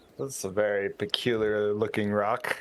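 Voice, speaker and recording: In a put-on character voice, a man speaks at a moderate pace with a fairly low pitch. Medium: actual play.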